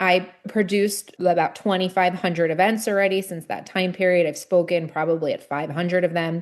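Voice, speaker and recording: Speaking in an American accent, a woman moves at a fairly quick pace with hardly any pauses. Her intonation is monotone and flat, set against a quiet background. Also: medium pitch for a woman. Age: 40s. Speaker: nonprofit founder. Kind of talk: podcast interview.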